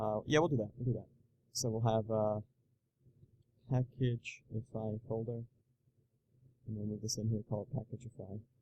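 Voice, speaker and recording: With a somewhat breathy, medium-pitched voice, a man talks in a flat monotone broken by long, frequent pauses. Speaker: programming tutorial youtuber. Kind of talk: live coding tutorial. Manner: fast, thinking aloud with many fillers.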